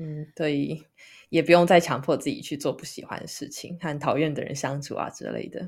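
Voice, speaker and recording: Over a very clean recording with a silent background, a woman with a very deep, low pitch and vocal fry speaks in a monotone, flat intonation at a moderate pace, her loudness swinging widely. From Taiwan. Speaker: podcast co-host. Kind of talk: casual chat.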